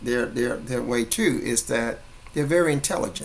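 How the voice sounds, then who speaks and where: A man at a moderate pace with lively intonation, noticeable background noise behind him. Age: 60s. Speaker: network marketing promoter. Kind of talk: impromptu sales pitch monologue. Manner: animated, preachy; repetitive, halting.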